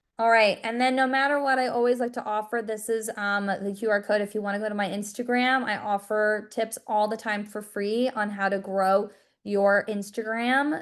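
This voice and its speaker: Here is a normal speaking voice with an American accent. The pace is fairly quick and the intonation fairly even. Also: woman. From New York. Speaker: social media marketing coach. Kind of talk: webinar presentation with sales pitch. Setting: video call.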